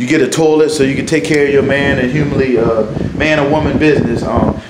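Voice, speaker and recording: Loud noise fills the background while a man speaks very fast. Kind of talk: casual vlog chat. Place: bathroom.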